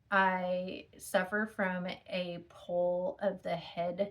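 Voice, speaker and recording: A woman speaks in a somewhat breathy voice at a fairly low pitch with monotone, flat intonation. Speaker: chronic illness vlogger. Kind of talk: personal testimony. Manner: halting, many fillers.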